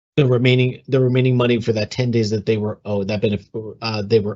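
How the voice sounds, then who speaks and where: At a fairly quick pace, a man speaks in a dark, mellow tone at medium pitch with ordinary pitch variation against a quiet background. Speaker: communications analyst for a retirement system. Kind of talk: webinar Q&A. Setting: online webinar. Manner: fast; hesitant, many fillers.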